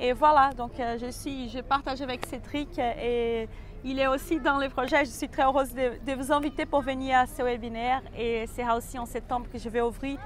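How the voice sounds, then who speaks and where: A woman speaks at a moderate pace in a high pitch with a slight Brazilian accent, her intonation flat and monotone. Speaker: personal development coach. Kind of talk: interview. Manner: halting.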